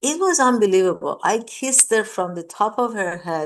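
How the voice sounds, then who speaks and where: The voice carries a Persian accent. Its pitch variation is ordinary. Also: woman. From Iran. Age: 60s. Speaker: mindfulness teacher. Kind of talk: talk. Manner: repetitive, halting.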